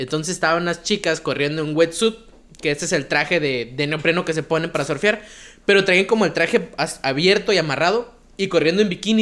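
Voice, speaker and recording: A man speaks at a fairly quick pace. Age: 20s. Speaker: comedy podcast host. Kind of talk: casual comedic chat.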